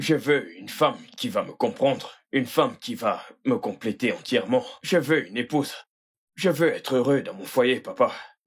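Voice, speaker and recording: In a put-on character voice, a man talks at a moderate pace, his raspy, fairly high pitch swinging very widely. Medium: fan dub. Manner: warm, relaxed.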